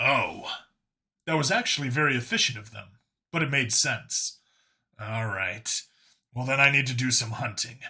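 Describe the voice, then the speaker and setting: A man speaks in a put-on character voice, raspy and at a medium pitch. His pace is moderate, broken by long, frequent pauses. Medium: read story. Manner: blunt, direct.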